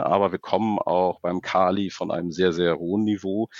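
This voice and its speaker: This man's pitch is very deep and low. His pace is moderate. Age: 40s. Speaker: fertilizer trading executive. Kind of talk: interview.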